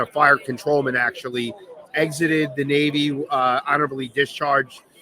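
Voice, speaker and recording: Fairly high-pitched man with a Long Island accent, monotone, flat intonation, fairly quick pace, noticeable background noise. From Long Island, New York. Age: 50s. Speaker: veteran business owner. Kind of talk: on-stage interview. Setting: stage with audience.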